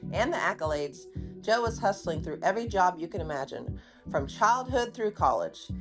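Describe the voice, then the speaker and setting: A woman talks at a moderate pace with lively intonation at a medium pitch. Music plays in the background. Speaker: podcast host. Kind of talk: podcast episode introduction.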